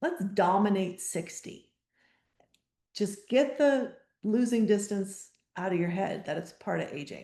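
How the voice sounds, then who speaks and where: A woman's ordinary speaking voice at medium pitch, fairly slow, with lively intonation. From US Midwest, Wisconsin. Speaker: golf fitness coach. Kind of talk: webinar presentation. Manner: casual, with fillers.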